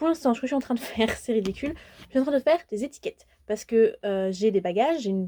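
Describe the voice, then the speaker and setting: Speaking at a very fast pace, a woman has a dark, mellow tone. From France. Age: 20s. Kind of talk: casual vlog talk to camera.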